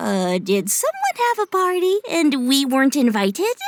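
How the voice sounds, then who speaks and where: This is a cartoonish character voice that sounds female and high-pitched. The pitch swings very widely. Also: moderate pace. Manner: brash.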